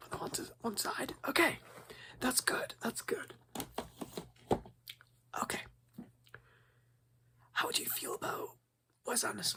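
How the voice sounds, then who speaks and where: A man whispering. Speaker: ASMR creator playing a movie shop owner. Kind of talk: ASMR roleplay, casual shop talk. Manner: soft-spoken, friendly, chatty.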